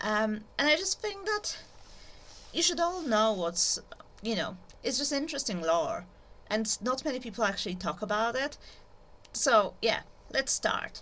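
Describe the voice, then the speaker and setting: At a fairly slow pace with long, frequent pauses, a woman speaks in a high, bright, sharp tone with very wide pitch swings. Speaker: YouTuber, literature educator. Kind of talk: informal lecture. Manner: hesitant, many fillers.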